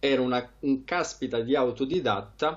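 Against a quiet background, a man with a medium pitch and vocal fry speaks at a fairly slow pace. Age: 20s. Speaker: trader; interviewee. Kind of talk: interview. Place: home room. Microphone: headset.

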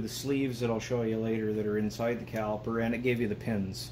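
A man is heard with light background noise. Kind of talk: tutorial. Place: garage.

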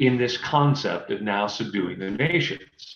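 Lively intonation carries a somewhat breathy voice. Audible room echo surrounds it. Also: man. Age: 50s. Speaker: Bible class speaker; speaker. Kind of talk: Bible study lecture. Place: home room. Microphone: webcam.

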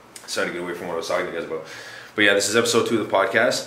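A man speaks at a fairly low pitch with ordinary pitch variation. There is audible echo in the room. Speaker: vlogger. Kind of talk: casual vlog chat. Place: home room. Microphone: phone near.

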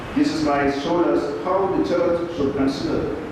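Fairly slow speech amid noticeable background noise and strong room echo. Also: man. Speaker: speaker. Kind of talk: formal speech. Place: hall.

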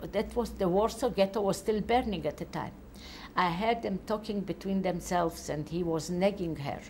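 A woman with a Polish accent speaks at a medium pitch with ordinary pitch variation. There is light background noise. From Poland. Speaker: Holocaust survivor giving testimony. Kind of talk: testimony. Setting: interview in Tel Aviv. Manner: halting. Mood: calm, reflective recollection. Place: home room. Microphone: lapel.

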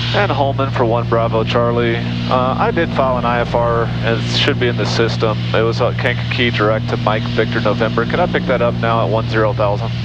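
This man talks at a fairly quick pace with hardly any pauses. The sound is dry with no echo, and music plays in the background. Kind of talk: casual vlog commentary and radio calls. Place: plane. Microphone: headset.

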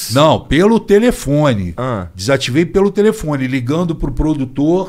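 Lively intonation colors a man's speech at a moderate pace. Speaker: podcast guest. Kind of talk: interview answer. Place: studio. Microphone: studio mic.

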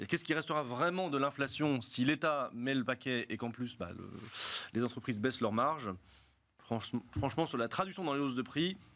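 A man's lively intonation at a fairly quick pace. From Lyon, France; France. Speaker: economics professor. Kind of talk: panel discussion. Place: studio. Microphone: studio mic.

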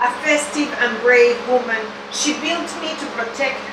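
A woman at a fairly slow pace, with audible room echo and noticeable background noise. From Venezuela. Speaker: poet. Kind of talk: poetry reading. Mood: solemn, serious. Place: shop.

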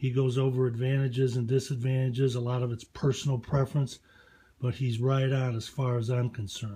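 At a fairly quick pace, a man talks in a monotone, flat intonation. His dark, mellow tone is somewhat breathy. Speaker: gun owner reviewer. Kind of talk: casual product review rant. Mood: opinionated, profane, challenging. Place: home room. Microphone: phone near.

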